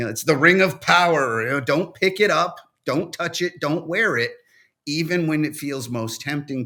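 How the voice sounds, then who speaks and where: Over a silent background in a very clean recording, a man with a fairly high pitch and a bright, sharp tone speaks at a moderate pace. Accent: New England. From New England. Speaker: First Amendment attorney. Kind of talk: panel discussion. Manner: halting.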